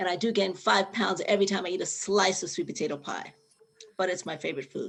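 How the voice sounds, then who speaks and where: A woman talks at a fairly quick pace. Her pitch is medium. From New York City, the Bronx. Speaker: retired policy worker, gardening volunteer trainee. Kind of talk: casual introduction in a group video call.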